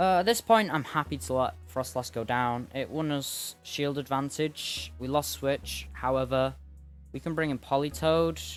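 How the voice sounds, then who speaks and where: Very wide pitch swings from a man at a medium pitch, at a fairly slow pace, with music in the background. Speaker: gaming commentator. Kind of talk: gameplay commentary.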